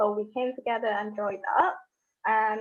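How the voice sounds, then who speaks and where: The pace is moderate. A woman is the one talking. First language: not Thai, not English. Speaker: university student. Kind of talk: webinar presentation. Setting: online webinar.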